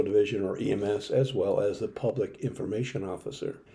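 A man with a dark, mellow tone speaks fairly quickly, his voice somewhat breathy. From Maryland, Howard County. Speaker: retired fire service officer and local historian. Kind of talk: scripted presentation. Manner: formal.

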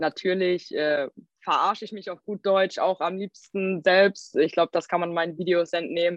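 This woman has an ordinary speaking voice at a medium pitch, with fairly even intonation and a moderate pace, captured in a dry, close sound with no echo. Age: 20s. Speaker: social media creator. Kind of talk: interview.

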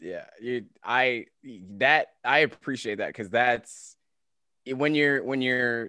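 A man's tone comes across bright and sharp against a quiet background. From Kansas. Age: 30s. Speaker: gaming and fitness content creator. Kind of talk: casual chat. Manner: animated, laughs often.

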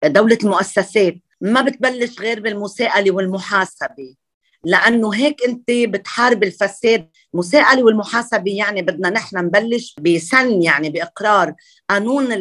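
In a Lebanese accent, a woman speaks at a moderate pace with medium pitch and ordinary pitch variation. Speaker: architect and parliamentary candidate. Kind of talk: interview.

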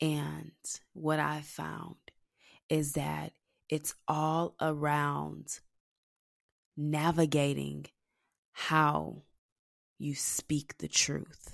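A woman speaks at a very slow pace with long, frequent pauses. The recording is very clean, with a silent background. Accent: Texan. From Texas. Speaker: entrepreneur and podcast host. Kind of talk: solo monologue podcast, personal reflection.

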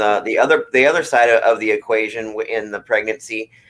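A man's voice at a medium pitch and moderate pace. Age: 30s. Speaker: podcast host. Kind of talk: casual chat. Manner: halting.

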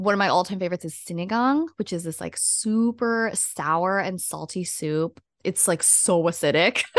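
A woman with a plain, everyday voice speaks at a medium pitch and a moderate pace. She shows ordinary pitch variation and hardly any pauses. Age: 20s. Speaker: podcast co-host. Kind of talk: casual chat.

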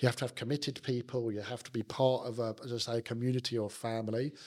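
Here a man talks at a fairly quick pace with a South London accent and medium pitch. The recording is very clean, with a silent background. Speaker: business executive. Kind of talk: casual interview chat.

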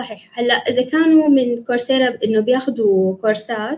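A woman with a high pitch talks at a moderate pace and ordinary pitch variation. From Damascus, Syria. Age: 20s. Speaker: student and English teacher. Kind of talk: live interview. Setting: video call, live stream.

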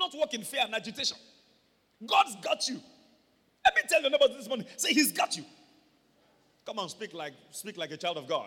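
An animated man speaks in a raised, projected voice at an extremely high pitch, with very wide pitch swings and big swings in loudness. His pace is fairly quick, broken by long, frequent pauses. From Nigeria. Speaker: pastor. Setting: church service, also streamed online. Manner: animated, emphatic preaching that prompts amens from the congregation; explanatory, steady storytelling pace when walking through the scripture.

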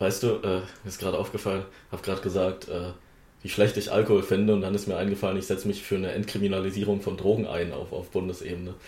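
Speaking at a very fast pace, a man has a fairly low pitch and a dark, mellow tone. His voice is somewhat breathy, with monotone, flat intonation. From Wittenberg, Saxony-Anhalt, Germany. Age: young. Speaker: parliamentary candidate, podcast host. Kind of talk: casual chat.

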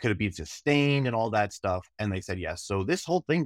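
Recorded very cleanly with a silent background and a dry, close sound with no echo, a man talks at a fairly quick pace in a normal speaking voice with lively intonation. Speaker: sports administrator. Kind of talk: casual interview chat.

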